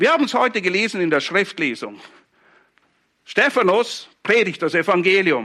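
A man projects a raised voice with a bright, sharp tone, high pitch and lively intonation. He moves at a moderate pace with long, frequent pauses. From Switzerland, Zurich Oberland (Hinwil). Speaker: pastor. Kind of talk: sermon.

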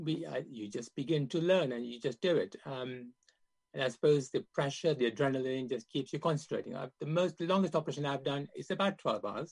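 In a dry, close recording with a quiet background, a man speaks fairly quickly at a fairly high pitch, somewhat breathy, with ordinary pitch variation. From Kenya, Indian family, raised then in UK. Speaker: surgeon. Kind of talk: interview testimony. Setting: video call.

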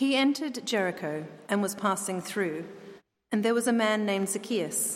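An unremarkable speaking voice from a woman at medium pitch and moderate pace, with ordinary pitch variation and very even loudness. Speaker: scripture reader. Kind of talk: reading aloud. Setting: church.

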